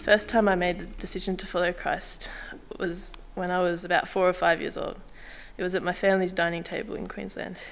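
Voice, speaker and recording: A woman talks at a fairly quick pace in a nervous tone with monotone, flat intonation. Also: medium pitch for a woman. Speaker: church member giving baptism testimony. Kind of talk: testimony. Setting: church.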